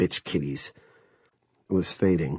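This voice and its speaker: In a put-on character voice, a man growls out raspy, very deep, low tones at a moderate pace. The recording is very clean with a silent background. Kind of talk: audiobook narration. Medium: read story.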